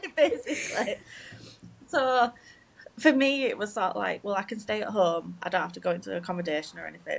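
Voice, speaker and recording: A woman with a strong Yorkshire accent at a fairly quick pace, big swings in loudness, and noticeable background noise. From northern England, Leeds, Yorkshire. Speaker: game development graduate. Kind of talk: casual chat.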